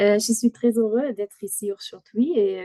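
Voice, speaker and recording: Here is a woman with a German accent. The sound is dry and close, with no echo. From Germany. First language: German (speaking French). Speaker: company product manager. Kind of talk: product presentation. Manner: halting.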